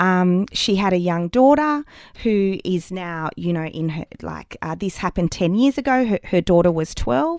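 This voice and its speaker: Moderate pace with an Australian accent, in a dry, close sound with no echo. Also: woman, medium pitch for a woman, very clean recording, silent background. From Wagga Wagga, New South Wales, Australia. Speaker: educational writer and app founder. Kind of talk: interview. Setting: studio. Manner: hesitant, many fillers.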